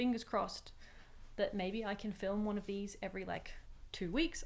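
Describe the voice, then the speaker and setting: A woman with a medium pitch uses a normal speaking voice with ordinary pitch variation. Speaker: knitting podcaster. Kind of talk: casual chat.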